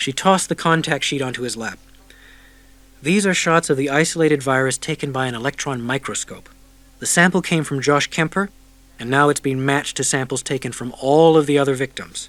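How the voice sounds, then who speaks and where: This man has an unremarkable speaking voice, fairly high in pitch, with ordinary pitch variation at a fairly quick pace. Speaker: audiobook narrator. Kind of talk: audiobook narration.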